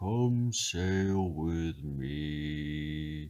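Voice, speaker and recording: Someone puts on a character voice pitched very deep and low. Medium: read story.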